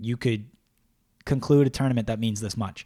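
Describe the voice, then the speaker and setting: Dry and close with no echo, this very clean recording with a silent background captures a man with a Canadian accent. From Canada. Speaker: hockey podcast host. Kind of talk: casual chat. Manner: animated.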